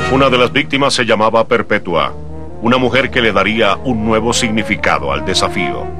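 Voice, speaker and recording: A man's medium-pitched voice with lively intonation, very even loudness and a moderate pace, over music in the background. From Colombia. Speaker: voice-over announcer. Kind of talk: documentary narration.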